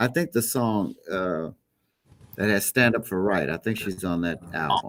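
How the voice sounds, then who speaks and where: This man has a plain, everyday voice with an American accent, pitched fairly low. He talks at a fairly slow pace with lively intonation. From Chicago, US Midwest. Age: 60s. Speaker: gospel musician. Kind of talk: interview.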